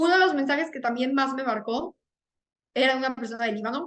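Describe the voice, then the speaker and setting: Her pitch sits high for a woman, with ordinary variation. She speaks at a fairly quick pace. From Venezuela. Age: 20s. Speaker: student, peace debate organization member. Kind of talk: interview.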